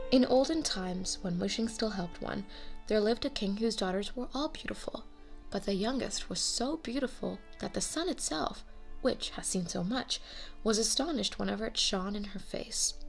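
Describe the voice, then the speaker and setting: A woman talks at a moderate pace in a fairly high voice, her intonation lively, with music playing behind her. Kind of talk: fairy tale narration.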